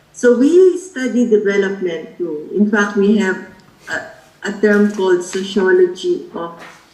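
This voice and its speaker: A woman's medium-pitched voice with noticeable background noise and audible room echo. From Philippines. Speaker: sociology professor. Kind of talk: lecture.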